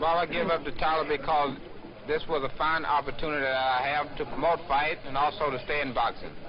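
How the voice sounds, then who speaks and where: Monotone, flat intonation at a fairly quick pace, over noticeable background noise. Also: man, fairly high pitch for a man. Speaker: heavyweight boxer. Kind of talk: press interview answer.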